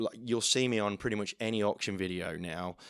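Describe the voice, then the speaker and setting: Fairly low in pitch, a man talks at a moderate pace. The sound is dry and close with no echo, in a very clean recording with a silent background. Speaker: auctioneer. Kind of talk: podcast interview answer.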